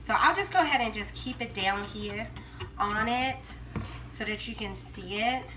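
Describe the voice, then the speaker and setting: A woman talks in a Southern US accent, with audible room echo. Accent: Southern American. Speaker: home cooking vlogger. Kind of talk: cooking tutorial. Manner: casual, chatty.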